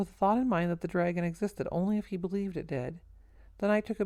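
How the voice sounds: Fairly even intonation in a natural reading voice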